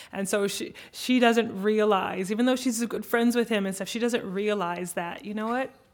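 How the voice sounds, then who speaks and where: A woman with an American accent has an unremarkable speaking voice at a fairly high pitch. She speaks at a moderate pace with fairly even intonation and hardly any pauses. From United States. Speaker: opera singer. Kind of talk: panel discussion. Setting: stage with audience.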